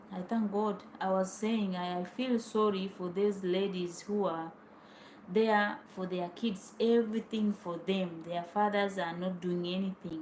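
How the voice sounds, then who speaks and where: Speaking with a Tanzanian accent, a woman uses a medium pitch and fairly even intonation. Her pace is fairly slow. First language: Swahili. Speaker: vlogger. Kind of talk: personal storytelling. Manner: informal.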